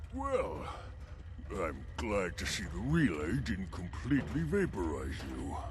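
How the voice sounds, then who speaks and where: Loud background noise sits behind a put-on character voice. The delivery is fairly slow, with long, frequent pauses. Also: man, very deep, low pitch for a man. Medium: video game. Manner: precise, scientific.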